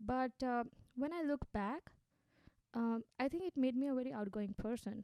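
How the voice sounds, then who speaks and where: Speaking at a fairly quick pace with an Indian accent, a woman has a high pitch and a dark, mellow tone, recorded with a dry, close sound and no echo. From India, Gujarat (Ahmedabad). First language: Hindi. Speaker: social entrepreneur. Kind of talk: interview.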